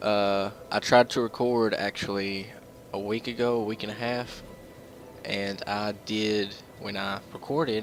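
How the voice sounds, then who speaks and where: Over music in the background, a man with a fairly low pitch speaks in a flat monotone at a fairly slow pace. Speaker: let's play gamer. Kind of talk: gameplay commentary.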